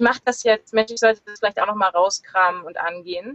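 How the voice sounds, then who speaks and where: A woman is speaking. Her pitch is fairly high. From northern Germany, Lüneburg near Hamburg. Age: 30s. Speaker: solo sailor. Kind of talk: interview. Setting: video call from sailboat in marina. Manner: hesitant, many fillers.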